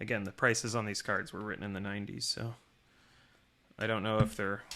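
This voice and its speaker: A man talks in a soft-spoken way. His intonation stays fairly even. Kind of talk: casual talk to camera. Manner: quiet, soft-spoken.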